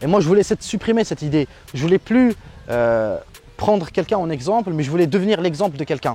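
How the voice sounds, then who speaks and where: A man with a dark, mellow tone speaks at a very fast pace, his pitch high and his intonation lively. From Algeria. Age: 20s. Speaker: tech YouTuber. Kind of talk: interview. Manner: hesitant, many fillers.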